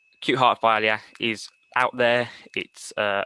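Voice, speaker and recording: With a Birmingham accent, a man speaks in a bright, sharp tone at a fairly low pitch and a monotone, flat intonation, in a quiet background with a dry, close sound and no echo. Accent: Brummie. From Birmingham, England. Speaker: paramedic. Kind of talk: lecture. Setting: webinar.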